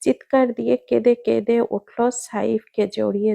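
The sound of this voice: The passage is read in an unforced reading voice.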